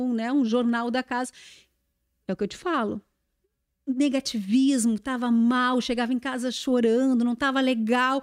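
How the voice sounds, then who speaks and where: Her pitch is high, and her intonation stays monotone and flat. The woman talks at a moderate pace with long, frequent pauses, on a very clean recording with a silent background. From southern Brazil (Rio Grande do Sul, Uruguay border). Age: 40s. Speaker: TV news anchor. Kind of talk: casual interview chat.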